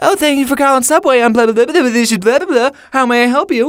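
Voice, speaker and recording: This put-on character voice has a high pitch. It races along at a very fast pace. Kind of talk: rote customer-service script. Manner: dopey, mocking.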